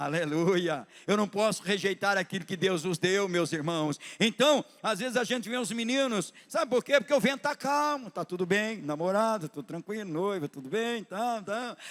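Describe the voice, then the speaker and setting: A man talks at a moderate pace with hardly any pauses. His voice is high-pitched, with lively intonation. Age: 60s. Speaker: pastor. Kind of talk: sermon. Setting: church. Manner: animated.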